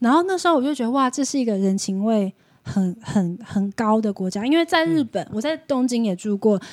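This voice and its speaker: With very wide pitch swings, a woman speaks fairly quickly in a fairly high voice. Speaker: podcast guest who lived in Russia. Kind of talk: casual chat.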